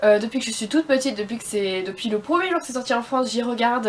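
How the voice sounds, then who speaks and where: Lively, very rapid delivery against a noticeable layer of background noise. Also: woman. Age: 20s. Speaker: beauty vlogger. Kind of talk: casual vlog talk to camera. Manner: hesitant, many fillers.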